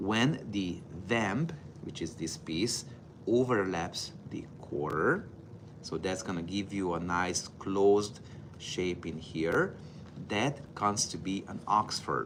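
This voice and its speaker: A man speaks very slowly at a fairly low pitch with lively intonation. Room echo can be heard. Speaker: footwear professor. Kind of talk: tutorial.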